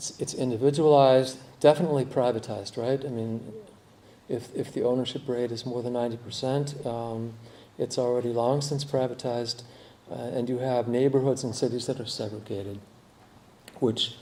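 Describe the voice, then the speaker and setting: There is audible room echo as a man talks at medium pitch and a fairly quick pace with fairly even intonation. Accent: American. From United States. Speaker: architect and urbanist. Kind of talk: conference talk. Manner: halting, many repetitions and fillers.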